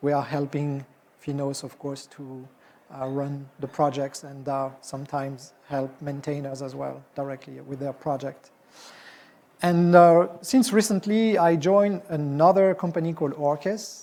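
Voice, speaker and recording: A man in a French accent, with a dark, mellow tone, ordinary pitch variation, big swings in loudness and a fairly slow pace. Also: fairly high pitch for a man. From France. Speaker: software executive and conference speaker; conference presenter. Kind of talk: conference talk. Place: hall.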